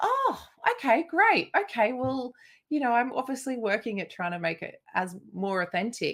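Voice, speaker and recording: Speaking fairly slowly, a woman uses a strong Australian accent. Her pitch swings very widely. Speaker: singer and podcast co-host. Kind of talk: casual chat.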